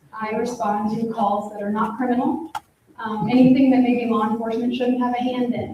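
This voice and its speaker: A woman's high voice with an American accent at a fairly quick pace, against noticeable background noise. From US Midwest, Iowa. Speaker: social worker, panelist. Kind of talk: panel self-introduction.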